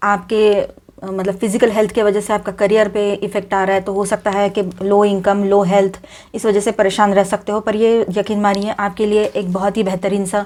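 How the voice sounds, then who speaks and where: The speech moves at a moderate pace. The intonation is monotone and flat. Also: woman. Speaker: tarot reader. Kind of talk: tarot reading. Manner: quiet.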